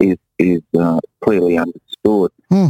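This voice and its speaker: A man speaks in an Australian accent with a very deep, low pitch. The sound is dry and close, with no echo. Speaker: musician and visual artist. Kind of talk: interview.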